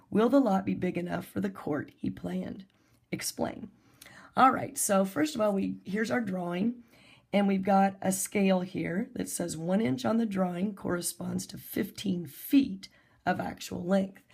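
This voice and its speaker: Her voice sits at a medium pitch with vocal fry, and this woman's intonation is lively. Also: moderate pace, very clean recording, silent background. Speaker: math teacher. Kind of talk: recorded lesson.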